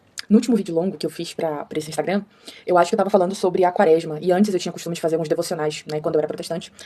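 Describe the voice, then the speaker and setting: A woman with a fairly low pitch and a dark, mellow tone, very fast pace and fairly even intonation. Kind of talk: explainer monologue. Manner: casual, filler-heavy.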